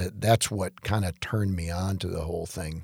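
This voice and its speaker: A very deep, low, somewhat breathy male voice with an American accent and fairly even intonation, dry and close with no echo, on a very clean recording with a silent background. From Detroit, Michigan (US Midwest). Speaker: chiropractor. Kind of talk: casual interview.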